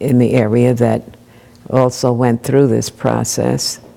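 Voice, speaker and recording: In a Maryland accent, a woman speaks with a very deep, low pitch. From Long Island, New York. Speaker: minister. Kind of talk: interview answer.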